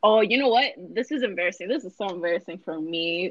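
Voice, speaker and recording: Delivered at a fairly quick pace with lively intonation, this is a normal speaking voice. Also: woman. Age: young. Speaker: podcast co-host. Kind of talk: casual chat.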